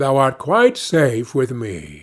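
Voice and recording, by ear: A man puts on a character voice at medium pitch. He speaks at a slow pace with very wide pitch swings.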